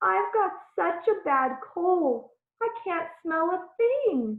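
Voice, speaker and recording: In a put-on character voice, the speaker talks very slowly with a croaky, extremely high pitch. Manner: feigning illness.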